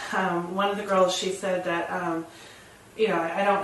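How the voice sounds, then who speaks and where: A woman speaks in a medium pitch with monotone, flat intonation. Noticeable background noise and audible room echo surround her voice. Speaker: nurse, workshop participant. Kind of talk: personal sharing in a spiritual workshop. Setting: workshop room with a mic. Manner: halting, many fillers.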